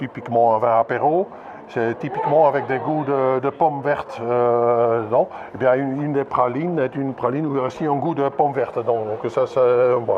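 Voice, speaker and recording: Noticeable background noise sits behind a man whose medium-pitched voice moves at a moderate pace with fairly even intonation. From Belgium, northern Limburg province. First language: Dutch (speaking French). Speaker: winegrower. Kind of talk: casual interview at event.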